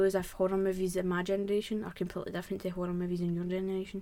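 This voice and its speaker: A woman with a Glaswegian accent, medium pitch, monotone flat intonation and a very fast pace. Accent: Glaswegian Scottish. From Scotland, Glasgow. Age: 20s. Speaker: podcast host. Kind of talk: casual chat.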